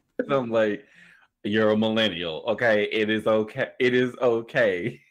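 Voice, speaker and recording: Over a quiet background, a man at medium pitch speaks in a plain, everyday voice with ordinary pitch variation and very even loudness. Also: fairly slow pace. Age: 20s. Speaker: streamer. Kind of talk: casual chat.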